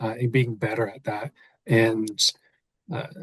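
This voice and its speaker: Somewhat breathy, a man talks at a moderate pace in a dry, close sound with no echo. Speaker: podcast host and real estate coach. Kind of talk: casual interview chat. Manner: mellow, laid-back.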